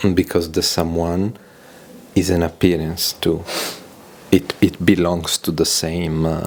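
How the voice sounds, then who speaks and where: Speaking at a fairly slow pace with a non-native accent, the voice breaks into long, frequent pauses. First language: not English. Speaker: audience participant. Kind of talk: question and answer. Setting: gathering in London. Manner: halting.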